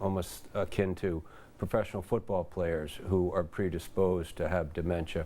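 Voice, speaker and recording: A man with an American accent and a very deep, low pitch speaks at a moderate pace in a monotone, flat intonation on a very clean recording with a silent background. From US Northeast, Rye, Westchester, New York. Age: 60s. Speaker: author and journalist living with Alzheimer's. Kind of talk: interview testimony. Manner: halting, many fillers and repetitions.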